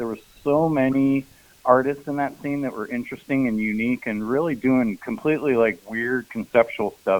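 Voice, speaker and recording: Here is a man with a plain, everyday voice and a medium pitch. He talks at a fairly quick pace with ordinary pitch variation. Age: 60s. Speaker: noise musician. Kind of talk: casual chat.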